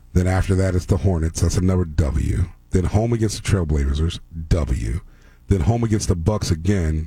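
A man with a very deep, low pitch sounds somewhat breathy and dark and mellow, holding his loudness very even. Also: ordinary pitch variation, moderate pace. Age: 40s. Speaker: sports radio host. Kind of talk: sports talk radio. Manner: casual, laughing.

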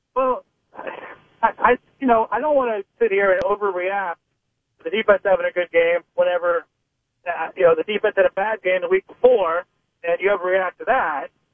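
Speaking at a moderate pace with an American accent, a man uses a high pitch and ordinary pitch variation. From Pittsburgh, Pennsylvania, US. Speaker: sports reporter. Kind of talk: radio interview.

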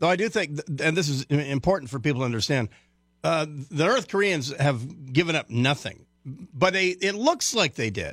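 With an unremarkable speaking voice, a man talks at a moderate pace in a fairly high pitch with lively intonation, on a very clean recording with a silent background. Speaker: radio host and military analyst. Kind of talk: talk radio.

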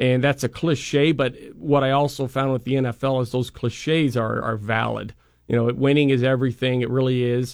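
A man with an American accent talks in an ordinary speaking voice at a medium pitch, moving at a moderate pace with fairly even intonation. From Idaho (Boise). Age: 30s. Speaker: football analyst. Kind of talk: radio interview. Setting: studio.

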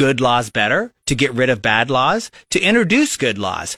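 Speaking with a Midwestern American accent, a man uses a fairly high, bright, sharp voice with very wide pitch swings on a very clean recording with a silent background. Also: dry, close sound with no echo. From Nebraska (Lincoln). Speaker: local party chairman. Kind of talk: radio interview. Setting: radio studio. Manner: halting, many fillers.

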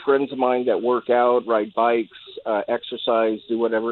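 A man is speaking. The pace is moderate. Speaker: caller. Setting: phone call. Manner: hesitant, halting, many fillers.

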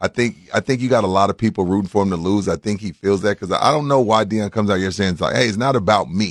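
On a very clean recording with a silent background and a dry, close sound with no echo, a man with a fairly low pitch speaks at a very fast pace with ordinary pitch variation. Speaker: radio co-host. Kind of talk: casual sports radio banter. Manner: animated, joking.

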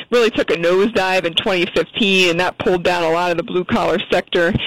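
A woman with an American accent speaks at a fairly quick pace, her pitch medium with ordinary variation. Noticeable background noise runs under her voice. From rural Pennsylvania. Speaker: finance reporter. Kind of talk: radio interview. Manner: hesitant, many fillers.

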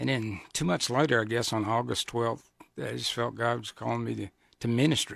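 In a Southern US accent, a man speaks at a medium pitch with fairly even intonation. The recording is very clean, with a silent background. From US South, Georgia. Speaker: pastor. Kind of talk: radio interview. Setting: studio.

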